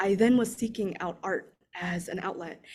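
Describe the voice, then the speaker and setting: The voice is somewhat breathy. It keeps a moderate pace. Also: woman. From Kansas, US Midwest (Emporia), from age six; born in Vietnam. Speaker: visiting artist. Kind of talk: artist talk presentation.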